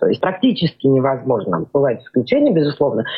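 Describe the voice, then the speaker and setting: A woman is speaking. Her pitch swings very widely. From Georgia. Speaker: psychodiagnostician. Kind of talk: radio interview.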